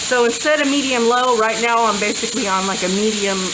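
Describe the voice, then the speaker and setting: A woman's fairly high voice, with ordinary pitch variation, comes through audible room echo and noticeable background noise. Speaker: home cooking youtuber. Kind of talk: cooking tutorial. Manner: loud; casual.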